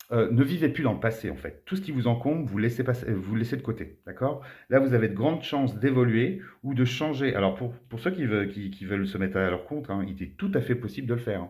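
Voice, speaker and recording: On a very clean recording with a silent background, a man talks at a fairly quick pace with hardly any pauses. His voice is somewhat breathy, with lively intonation. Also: medium pitch for a man. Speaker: tarot card reader. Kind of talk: tarot reading monologue. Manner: fast.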